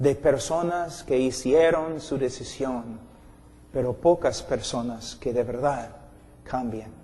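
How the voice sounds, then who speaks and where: A man with an English accent speaks at a fairly high pitch in an intense yet dark, mellow tone, with ordinary pitch variation. His very slow delivery has long, frequent pauses and audible room echo. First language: English (speaking Spanish). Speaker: preacher. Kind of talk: sermon.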